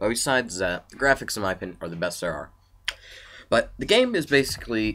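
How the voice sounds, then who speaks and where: A man's bright, sharp voice at medium pitch, with vocal fry, very cleanly recorded against a silent background. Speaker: video game reviewer. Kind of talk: casual video game review. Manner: halting, stuttering.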